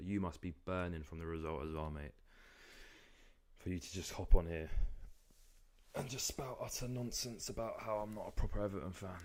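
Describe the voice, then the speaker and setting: In a London accent, a man with a very deep, low pitch speaks at a fairly quick pace with ordinary pitch variation, big swings in loudness and long, frequent pauses. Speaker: football streamer. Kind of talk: live watchalong commentary. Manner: casual, conversational.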